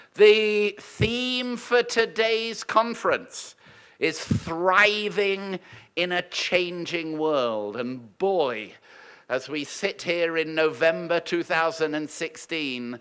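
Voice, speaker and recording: On a very clean recording with a silent background, a man speaks very slowly in a high pitch, using lively intonation and a bright, sharp tone. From United Kingdom. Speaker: university leader welcoming conference. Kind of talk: welcome speech. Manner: formal.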